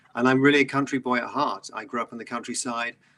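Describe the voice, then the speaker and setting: A man with a British accent, a bright, sharp tone, medium pitch and fairly even intonation. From southeast England. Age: 50s. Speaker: environmental entrepreneur. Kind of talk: interview.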